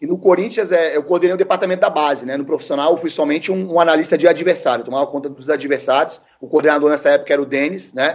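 A man with a fairly high pitch speaks at a very fast pace, with hardly any pauses. His pitch varies in an ordinary way. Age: 40s. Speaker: football coach. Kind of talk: interview.

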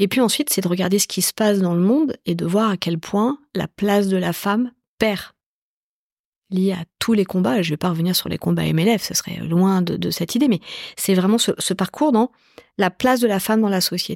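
A woman with a medium pitch and a normal speaking voice talks at a moderate pace, with ordinary pitch variation. The sound is dry and close with no echo, on a very clean recording with a silent background. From Paris southern suburbs, Évry. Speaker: tech company executive. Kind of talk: interview conversation. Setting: in the guest's office.

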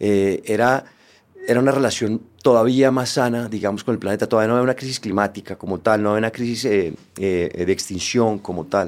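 Speaking at a fairly low pitch, a man has a normal speaking voice. His pace is moderate and his pitch variation ordinary. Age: 50s. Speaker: podcast host. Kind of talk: interview conversation.

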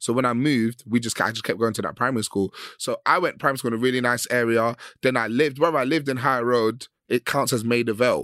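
A man with a London accent and medium pitch at a very fast pace, on a very clean recording with a silent background and a dry, close sound with no echo. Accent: London Multicultural English. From West London. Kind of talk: casual chat. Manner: animated.

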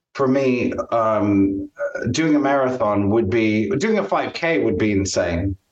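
This man talks at a very slow pace. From US Midwest, Champaign-Urbana, Illinois. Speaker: marketing agency owner and networking coach. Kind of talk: casual interview.

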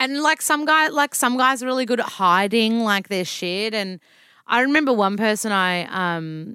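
With a strong Australian accent, a woman speaks in a fairly high, bright, sharp voice with lively intonation, the sound dry and close with no echo in a very clean recording with a silent background. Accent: broad Australian. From Melbourne, Australia. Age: 30s. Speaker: nutritionist and author. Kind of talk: casual chat. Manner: animated, casual.

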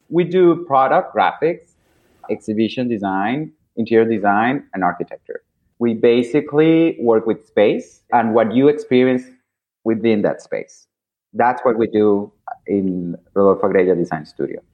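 With a Spanish accent, a man talks at a moderate pace and with lively intonation. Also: medium pitch for a man. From Venezuela, Caracas. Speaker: designer. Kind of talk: interview. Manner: animated.

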